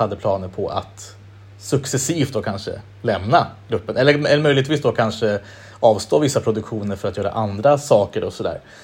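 A somewhat breathy man speaks at a moderate pace and medium pitch, with ordinary pitch variation. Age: 30s. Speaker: podcast host. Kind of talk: casual interview chat.

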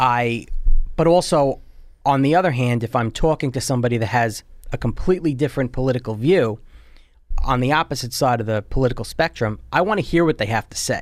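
A man with an American accent talks at a fairly quick pace, with a medium pitch and ordinary pitch variation. The recording is very clean, with a silent background. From US Northeast, Long Island, New York. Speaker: conservative podcaster, insurance adjuster. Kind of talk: political discussion.

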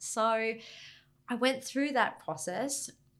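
A woman talks with an Australian accent. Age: 40s. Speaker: government maritime director. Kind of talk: interview.

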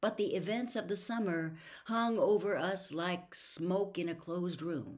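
In an ordinary speaking voice, a woman talks at a fairly slow pace with a medium pitch and ordinary pitch variation. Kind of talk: audiobook reading of a novel. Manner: measured, even-paced narration with a calm storyteller's cadence.

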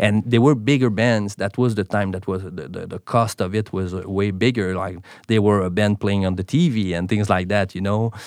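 A man speaks in a Quebec accent, fairly low in pitch, at a moderate pace. His intonation is fairly even, and the recording is very clean with a silent background. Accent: Quebecois French. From Quebec, Montreal. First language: French. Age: 30s. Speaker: drummer and accountant. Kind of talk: casual interview chat. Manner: halting, many fillers.

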